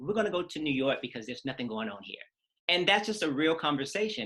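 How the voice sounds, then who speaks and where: A man with an American accent, a bright, sharp tone and lively intonation at a very fast pace. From US South, Atlanta, Georgia. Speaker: choreographer. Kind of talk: interview conversation. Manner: casual, with many fillers.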